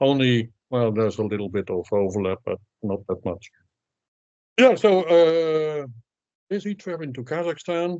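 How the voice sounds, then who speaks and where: A man talks at a moderate pace with an unremarkable speaking voice. His intonation is lively. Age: 60s. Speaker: sprint coach and author. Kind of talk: interview.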